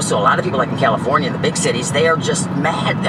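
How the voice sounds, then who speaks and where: An animated man talks amid noticeable background noise and audible room echo. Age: 60s. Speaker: homeless person interviewed. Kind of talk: street interview. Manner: halting.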